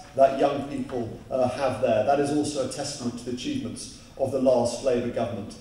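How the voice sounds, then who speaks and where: Light background noise and audible room echo surround a man whose intonation stays fairly even. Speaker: speaker. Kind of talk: public speech. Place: hall.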